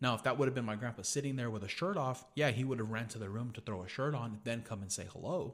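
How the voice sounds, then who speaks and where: A man with an American accent speaks very fast at medium pitch, with ordinary pitch variation and hardly any pauses. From California, Gonzales. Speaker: podcast guest. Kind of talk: casual chat.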